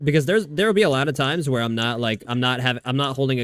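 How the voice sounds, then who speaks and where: An American accent at a very fast pace. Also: man. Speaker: video game streamer. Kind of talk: casual chat. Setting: live stream. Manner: halting.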